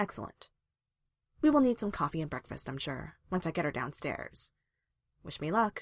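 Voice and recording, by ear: Over a silent background in a very clean recording, a woman does a put-on character voice at a low pitch, with big pitch swings and a moderate pace.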